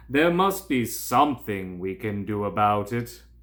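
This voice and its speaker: A man puts on a character voice at a fairly low pitch with lively intonation. He keeps a moderate pace. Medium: read story. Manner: regal, declamatory.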